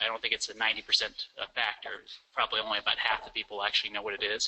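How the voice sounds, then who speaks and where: Talking at a very fast pace, a man speaks with a Midwestern American accent. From western Nebraska. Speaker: lawyer. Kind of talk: software demonstration presentation.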